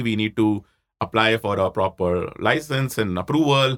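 A man with an Indian accent speaks at a fairly low pitch with ordinary pitch variation. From Jaipur, India. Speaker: startup CEO and co-founder. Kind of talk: interview conversation. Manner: fast talker.

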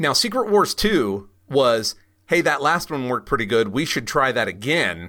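This man has a medium pitch, a bright, sharp tone and some vocal fry, with very wide pitch swings. He moves at a moderate pace on a very clean recording with a silent background. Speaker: podcast host and comics expert. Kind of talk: casual podcast discussion.

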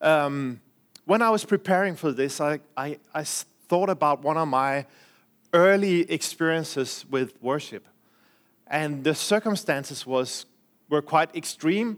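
The speaker has a Danish accent and talks at a fairly slow pace. The recording is very clean, with a silent background. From Denmark. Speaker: preacher. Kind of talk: sermon. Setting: church.

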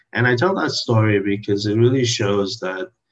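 His pitch is fairly low and his intonation fairly even. The man's voice is somewhat breathy. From Trinidad. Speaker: health tech founder and CEO. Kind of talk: interview. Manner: halting, with fillers and restarts.

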